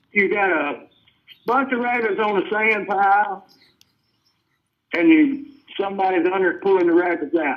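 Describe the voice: Moderate pace and long, frequent pauses mark this man's high-pitched voice, which has ordinary pitch variation. Room echo can be heard.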